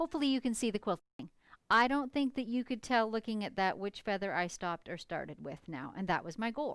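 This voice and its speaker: On a very clean recording with a silent background and a dry, close sound with no echo, a woman with a fairly high pitch talks at a fairly quick pace with very wide pitch swings. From Canada, northern British Columbia. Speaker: quilter. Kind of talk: live stream tutorial and chat. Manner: casual, chatty.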